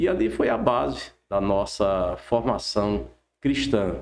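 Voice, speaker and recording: This man talks in a fairly low register with vocal fry. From Brazil, Rio Grande do Norte (Caicó, Seridó). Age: 70s. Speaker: pastor. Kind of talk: testimony.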